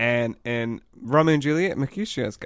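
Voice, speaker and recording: In a very clean recording with a silent background, a man with a New Zealand accent speaks with ordinary pitch variation. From New Zealand, Auckland. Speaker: podcast co-host. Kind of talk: casual chat.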